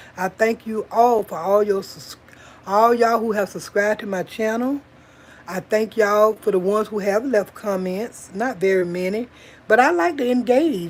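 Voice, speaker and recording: This is an ordinary speaking voice from a woman. She talks at a moderate pace with a fairly high pitch. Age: 60s. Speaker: YouTube vlogger. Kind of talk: casual livestream chat. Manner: warm, conversational with fillers.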